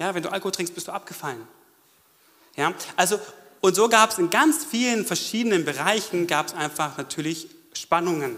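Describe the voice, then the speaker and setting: A man's high-pitched, animated voice at a moderate pace, with lively intonation and long, frequent pauses. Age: 30s. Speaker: church member giving testimony. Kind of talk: testimony. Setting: stage with audience.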